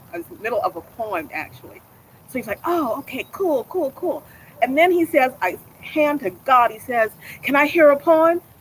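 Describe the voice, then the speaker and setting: Over noticeable background noise, a woman with a high pitch talks at a moderate pace in an animated tone, with very wide pitch swings and big swings in loudness. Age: 60s. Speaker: performance poet. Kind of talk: casual chat. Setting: livestream.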